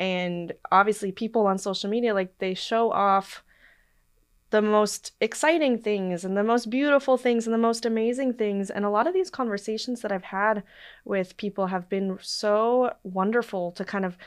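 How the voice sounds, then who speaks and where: A plain, everyday voice, with an American accent and ordinary pitch variation. The pace is moderate, and the background is quiet. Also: woman. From Portland, Oregon. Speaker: travel podcast host. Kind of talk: casual interview chat.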